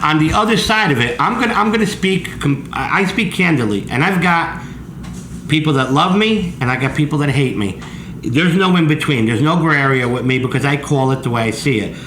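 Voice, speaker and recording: A man with a New Jersey accent, fairly high in pitch and fairly quick in pace, with lively intonation and very even loudness, over audible room echo and noticeable background noise. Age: 60s. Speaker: pizza chef and show host. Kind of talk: casual interview chat. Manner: animated.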